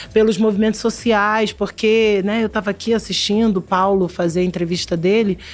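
Ordinary pitch variation at a fairly quick pace. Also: woman. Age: 40s. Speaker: television creative director. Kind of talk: interview.

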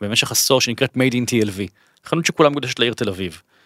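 Using ordinary pitch variation, a man speaks at a medium pitch and a fairly quick pace. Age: 40s. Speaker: author and lecturer. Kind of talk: interview. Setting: studio. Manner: halting.

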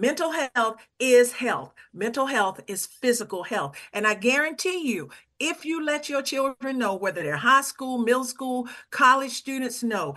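Speaking at a fairly slow pace, a woman uses a high pitch. Her intonation is lively. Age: 60s. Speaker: suicide prevention advocate. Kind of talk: interview. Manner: halting.

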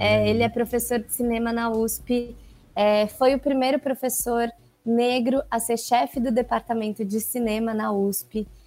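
Her dark, mellow tone sits fairly high in pitch as the woman speaks at a fairly slow pace with monotone, flat intonation. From Brazil, São Paulo. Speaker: actress. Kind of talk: interview.

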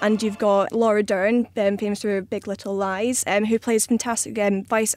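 Speaking at a moderate pace with a Scottish accent, a woman keeps her fairly high voice flat and monotone. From Scotland. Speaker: magazine editor. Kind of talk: panel discussion.

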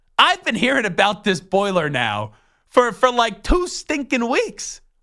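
A man speaks in a raised, projected voice with a bright, sharp tone and very wide pitch swings. His pace is fairly slow, in a very clean recording with a silent background. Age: 20s. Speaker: sports radio host. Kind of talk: casual chat.

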